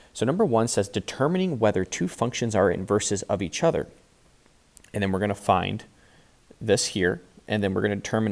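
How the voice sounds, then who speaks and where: Speaking at a fairly quick pace, a man with a normal speaking voice has a fairly low pitch and ordinary pitch variation. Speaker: math teacher. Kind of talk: tutorial.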